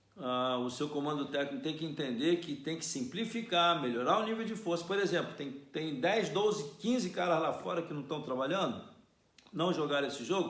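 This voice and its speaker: A man talks at a moderate pace with a fairly high pitch, lively intonation and an animated tone. Room echo is audible, and background noise is noticeable. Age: 60s. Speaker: football coach. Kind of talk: solo commentary.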